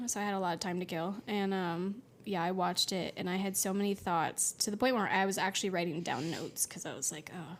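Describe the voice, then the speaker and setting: A soft-spoken woman talks at a very fast pace with hardly any pauses. Her pitch is medium and her intonation fairly even. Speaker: podcast co-host. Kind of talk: casual chat.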